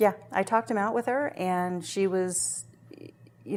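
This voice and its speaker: In an American accent, a woman at medium pitch speaks at a moderate pace on a very clean recording with a silent background. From northern California. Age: 40s. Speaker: radio personality. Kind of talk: interview.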